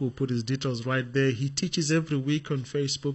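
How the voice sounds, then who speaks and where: A somewhat breathy man's voice, fairly high in pitch, at a very fast pace. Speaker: podcast host. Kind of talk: interview. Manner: enthusiastic.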